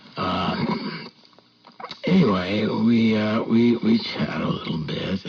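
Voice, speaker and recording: A man's put-on character voice, raspy and mid-pitched, with a deadpan tone, lively intonation, a fairly slow pace and long, frequent pauses. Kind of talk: shaggy-dog tall tale. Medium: solo performance. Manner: halting, full of ums and stammers, deadpan.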